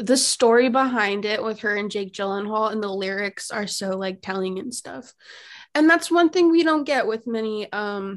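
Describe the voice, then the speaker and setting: An ordinary speaking voice moves at a moderate tempo, its pitch varying in an ordinary way. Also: woman, quiet background. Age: 20s. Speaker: guest co-host, college student. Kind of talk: casual chat.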